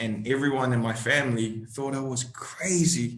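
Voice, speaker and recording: A man speaks at a medium pitch with a New Zealand accent. The room has an audible echo. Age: 20s. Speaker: actor. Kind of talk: interview.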